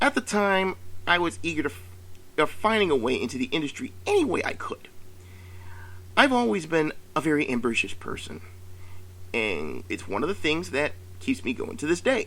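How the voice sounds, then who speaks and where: A man with vocal fry and a bright, sharp tone speaks at a fairly high pitch and a moderate pace, his pitch swinging very widely between long, frequent pauses. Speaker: YouTuber and game designer. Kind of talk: prepared monologue rant. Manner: halting.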